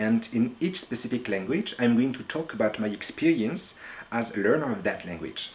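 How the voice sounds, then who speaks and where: Speaking at a fairly slow pace, a man with medium pitch makes very wide pitch swings. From France. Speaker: language learner, polyglot. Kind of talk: monologue to camera about language learning. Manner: halting, with hesitations.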